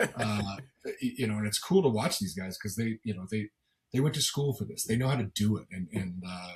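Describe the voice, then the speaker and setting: Somewhat breathy, a man talks at a fairly quick pace in a fairly low pitch with ordinary pitch variation. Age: middle-aged. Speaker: football color analyst and former coach. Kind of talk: podcast interview. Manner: animated, many repetitions and false starts.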